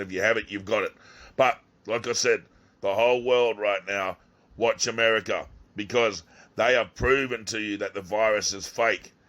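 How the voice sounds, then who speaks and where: The voice has an Australian accent and a bright, sharp tone. The recording is very clean with a silent background. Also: man. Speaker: YouTuber. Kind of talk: video monologue. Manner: animated.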